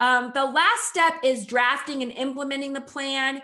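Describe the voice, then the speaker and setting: Her voice raised and projected, a woman speaks at a high pitch with a bright, sharp tone. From New Mexico. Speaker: agricultural lawyer. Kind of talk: webinar presentation.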